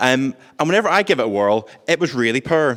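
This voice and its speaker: A man talks at a very fast pace with lively intonation. His pitch sits in the medium range. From Northern Ireland, Belfast. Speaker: tech worker and pizza business owner. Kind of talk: short talk to an audience. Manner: hesitant with many fillers.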